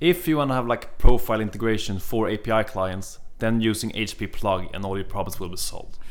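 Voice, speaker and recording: At a moderate pace, a man talks with ordinary pitch variation in an unremarkable speaking voice. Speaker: podcast host.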